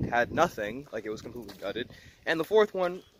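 A man's voice sounds dry with no echo, though background noise is loud. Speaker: car hobbyist vlogger. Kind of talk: casual vlog chat. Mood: mildly disappointed. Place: open country. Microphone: phone near.

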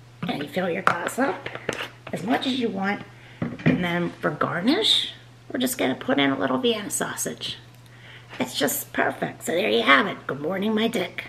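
A woman at a moderate pace with very wide pitch swings and long, frequent pauses, over light background noise. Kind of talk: casual vlog chat, drink tutorial. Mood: playful, joking. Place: kitchen. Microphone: phone near.

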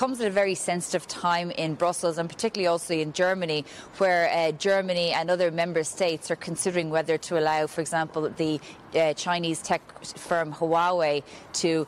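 A woman's unremarkable speaking voice, fairly low in pitch, with fairly even intonation, very even loudness and a fairly quick pace, dry with no echo over light background noise. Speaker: news correspondent. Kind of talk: live news report. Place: street. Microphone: handheld.

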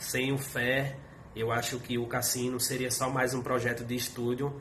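Light background noise sits under a man speaking with monotone, flat intonation. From Pernambuco, Brazil. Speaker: DJ; guest. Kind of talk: recorded tribute message. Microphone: video call.

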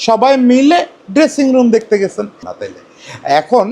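This is a man speaking. His intonation is lively. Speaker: cricket journalist and commentator. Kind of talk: solo opinion commentary. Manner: conversational, addresses viewers directly.

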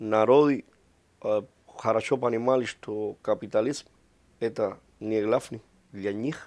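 At a very slow pace with long, frequent pauses, a man of medium pitch speaks with fairly even intonation but big swings in loudness. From Cuba. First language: Spanish (speaking Russian). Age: 40s. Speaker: ambassador. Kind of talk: interview. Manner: halting, many hesitations.

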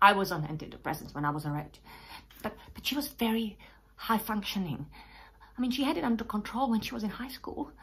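The speaker sounds nervous, with long, frequent pauses and very wide pitch swings. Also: woman, fairly high pitch for a woman. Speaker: actor performing a monologue. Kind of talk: dramatic monologue of a grieving mother recounting her daughter's suicide. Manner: halting, stammering repetitions and pauses building to raw grief; nervous laugh breaking into anguished, pleading questions.

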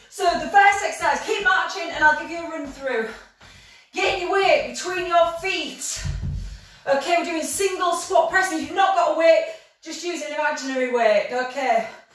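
Against a quiet background with audible room echo, the voice moves at a moderate pace with ordinary pitch variation and big swings in loudness. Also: woman, extremely high pitch for a woman. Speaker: fitness instructor. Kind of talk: workout class instruction. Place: home room. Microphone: camera far.

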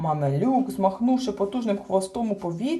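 Lively intonation in an unforced reading voice

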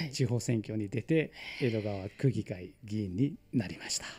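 Fairly slow delivery from a man, dark and mellow in tone, his pitch varying in an ordinary way. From India, Mumbai area; India. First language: Marathi or other Indian language (speaking Japanese). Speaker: local politician; guest. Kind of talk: radio interview. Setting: studio. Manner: hesitant, many fillers. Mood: cheerful, smiling. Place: studio. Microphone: studio mic.

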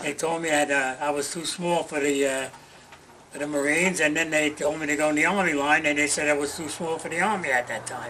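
In a New York accent, a man speaks at a fairly quick pace and a fairly high pitch, with fairly even intonation, over light background noise. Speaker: war veteran. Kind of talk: oral history interview. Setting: in person at a museum. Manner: halting. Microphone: camera far.

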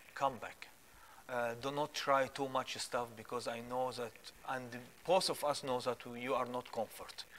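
A man with an Arabic accent at a moderate pace, monotone and flat, over light background noise. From Egypt. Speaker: guest sharing faith testimony. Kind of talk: preaching; testimony. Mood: earnest, pleading appeal. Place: studio. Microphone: lapel.

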